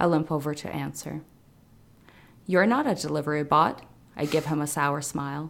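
A woman with a very deep, low pitch and vocal fry speaks at a moderate pace with fairly even intonation and long, frequent pauses, in a very clean recording with a silent background. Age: 30s. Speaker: novelist. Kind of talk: casual chat; reading aloud.

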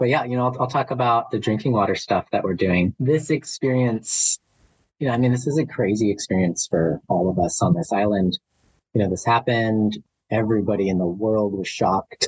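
A man at a medium pitch, slightly breathy, with a fairly quick pace and ordinary pitch variation, in a dry, close sound with no echo. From Arizona (Flagstaff). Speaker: hydrologist. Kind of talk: interview.

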